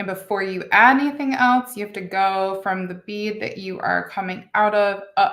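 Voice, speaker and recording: An unremarkable speaking voice from a woman, medium in pitch, fairly even in intonation, at a moderate pace. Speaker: beading instructor. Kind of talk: tutorial. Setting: home studio with camera and lighting.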